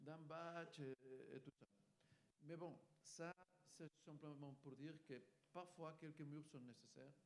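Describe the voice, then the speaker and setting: Very slow and broken by long, frequent pauses, a man's fairly high-pitched voice holds a fairly even intonation in a dry, close sound with no echo. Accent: Spanish. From Spain. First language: Spanish (speaking French). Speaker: EU communications official. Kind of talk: panel discussion. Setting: forum workshop with live audience.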